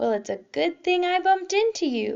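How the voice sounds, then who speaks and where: A woman's put-on character voice, extremely high-pitched, at a moderate pace. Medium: read story. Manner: sweet-talking, falsely friendly.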